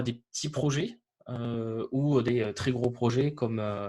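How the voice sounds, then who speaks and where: This man has a medium pitch and ordinary pitch variation. He speaks with a Toulouse accent. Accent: southern French (Toulouse). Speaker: developer advocate. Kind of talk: webinar presentation. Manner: hesitant, many fillers.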